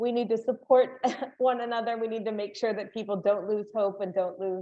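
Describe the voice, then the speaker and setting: Speaking in an American accent, a woman keeps a moderate pace and fairly even intonation. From United States. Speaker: human rights advocate. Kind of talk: webinar panel discussion. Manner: halting, with repetitions.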